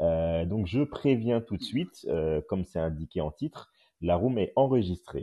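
Very deep and low, a man's voice moves at a fairly slow pace. His intonation is lively. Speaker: journalist and podcast host. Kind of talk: casual chat. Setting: audio app live room.

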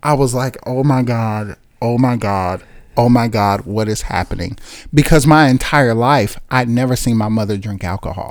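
A man with an American accent has a normal speaking voice and a medium pitch with ordinary variation. He talks at a moderate pace on a very clean recording with a silent background. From Chicago, US Midwest. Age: 30s. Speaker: pastor. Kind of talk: casual chat.

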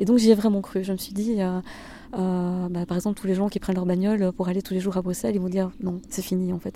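A woman talks at a very fast pace with a dark, mellow tone. Her pitch is medium and her intonation fairly even. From Belgium, Hainaut (Bernissart). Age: 40s. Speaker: former political press officer. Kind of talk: interview. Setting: outdoors in a garden.

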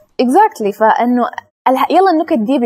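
Very wide pitch swings at a moderate pace, in a Sudanese accent, with a dry, close sound and no echo. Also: woman. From Sudanese family raised in the UAE. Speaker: YouTuber. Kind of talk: casual chat.

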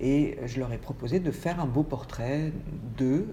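A woman speaks at a fairly slow pace in a very deep, low voice with ordinary pitch variation, and there is audible room echo. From France, Paris. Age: 50s. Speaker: photographer. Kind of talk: interview. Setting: at her home. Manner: hesitant, many fillers.

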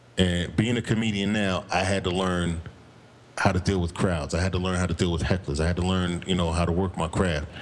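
A man with an American accent speaks at a fairly quick pace. His voice is very deep and low. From Morristown, New Jersey. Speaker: comedian and podcast co-host. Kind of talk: casual chat. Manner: animated.

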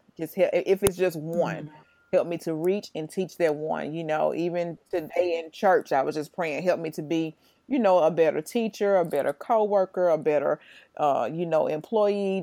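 On a very clean recording with a silent background, a woman with a Mississippi accent speaks at a moderate pace in a fairly low, dark, mellow voice with ordinary pitch variation. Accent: US South (Mississippi). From Jackson, Mississippi. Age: 30s. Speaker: educator. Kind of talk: casual chat.

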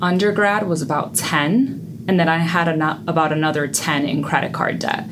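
A woman with a New York accent talks at a moderate pace with hardly any pauses, very even loudness and a very deep, low pitch with ordinary variation, amid audible room echo and noticeable background noise. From US Northeast, the Bronx, New York. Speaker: personal finance coach. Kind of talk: interview.

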